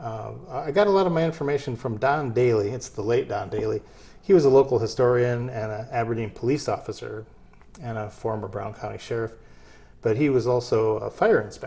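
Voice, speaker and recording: Speech comes at a fairly quick pace, the pitch varying in an ordinary way. The tone is dark and mellow, and somewhat breathy. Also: man. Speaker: guest. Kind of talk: interview answer.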